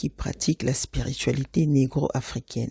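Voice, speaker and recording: A woman speaks with a Congolese accent. The sound is dry and close, with no echo. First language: Lingala (speaking French). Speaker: podcast host. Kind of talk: podcast monologue. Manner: casual, conversational with fillers; mixes French and Lingala.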